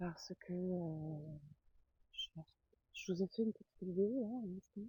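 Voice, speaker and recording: A woman speaks softly at a medium pitch, somewhat breathy. Her pace is very slow, and the sound is dry and close with no echo. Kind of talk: ASMR walk by a lake, casual talk to camera. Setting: outdoors. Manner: soft-spoken.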